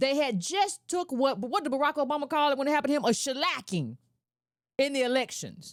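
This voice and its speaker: A woman speaks with a high pitch, lively intonation and an animated tone at a fairly quick pace. Her loudness stays very even, and the recording is very clean with a silent background. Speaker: political commentator. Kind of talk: political commentary monologue. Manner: fast.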